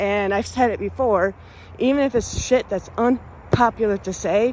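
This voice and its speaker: Fairly high-pitched, a woman speaks in an animated tone. Her pace is moderate. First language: Spanish. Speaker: music podcast host. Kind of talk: monologue to listeners.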